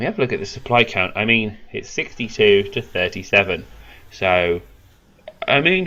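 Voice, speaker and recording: A man with a British accent speaks at a fairly low pitch. His intonation is lively, broken by long, frequent pauses. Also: moderate pace. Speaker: esports caster. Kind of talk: live commentary. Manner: animated.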